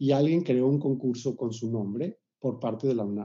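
Speaking at a fairly slow pace, a man with a medium pitch and a dark, mellow tone uses lively intonation. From Mexico City. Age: 60s. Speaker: composer. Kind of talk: interview.

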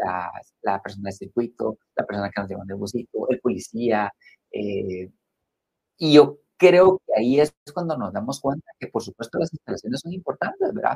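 Somewhat breathy and recorded dry and close with no echo, a man talks at a moderate pace with very wide pitch swings. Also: medium pitch for a man, big swings in loudness. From Guatemala. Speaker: spa business executive. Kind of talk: interview conversation.

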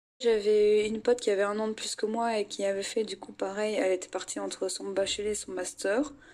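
A woman talks at a fairly quick pace with hardly any pauses. Her fairly high voice stays monotone and flat. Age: 20s. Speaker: psychology student. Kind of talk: interview testimony.

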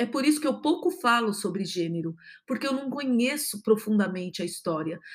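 The speaker talks at a fairly quick pace, somewhat breathy, with very wide pitch swings. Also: woman, fairly high pitch for a woman. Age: 50s. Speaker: podcast host, positive psychology speaker. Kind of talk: solo podcast monologue.

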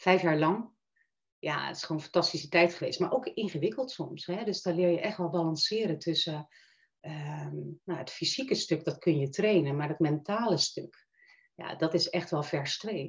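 Her voice is somewhat breathy, with a fairly low pitch for a woman. She talks at a moderate pace with ordinary pitch variation. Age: 50s. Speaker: coach. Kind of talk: interview. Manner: hesitant, many fillers.

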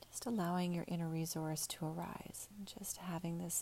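Speaking at a fairly slow pace, a woman with a fairly low pitch uses monotone, flat intonation in a soothing, calm tone that is dark and mellow and somewhat breathy. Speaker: meditation guide. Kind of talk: guided meditation. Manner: slow, soothing, calm; gentle, unhurried, with pauses.

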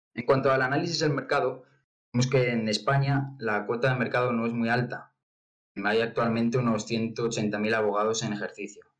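A man uses a normal speaking voice at medium pitch with fairly even intonation. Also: moderate pace. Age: young. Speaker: startup cofounder. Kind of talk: pitch presentation.

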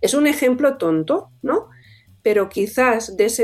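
Speech at a moderate pace comes with lively intonation. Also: woman. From Catalonia, Tarragona. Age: 40s. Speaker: orthopaedic surgeon and author. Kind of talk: interview. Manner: animated.

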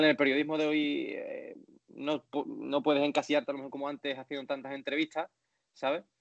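A man talks with an Andalusian accent. His pace is moderate. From Andalusia, Spain. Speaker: sports journalist. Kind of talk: interview. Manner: halting, many repetitions.

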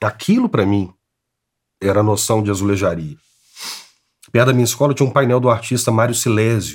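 A man talks at a fairly quick pace. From Brazil, Belo Horizonte (Minas Gerais). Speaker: tile artist. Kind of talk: interview.

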